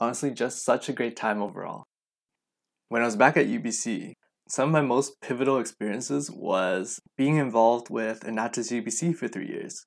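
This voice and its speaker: A man with a Western Canadian accent speaks at a medium pitch with ordinary pitch variation. He keeps a moderate pace on a very clean recording with a silent background. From Canada, Vancouver. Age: 20s. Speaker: podcast host. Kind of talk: podcast intro monologue.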